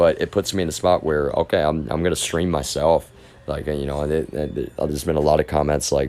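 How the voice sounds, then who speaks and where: A man's very deep, low voice with a dark, mellow tone, vocal fry, fairly even intonation and a slight Texas accent. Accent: slight Texas drawl. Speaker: live streamer. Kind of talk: casual monologue. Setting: live stream. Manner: halting, repetitive.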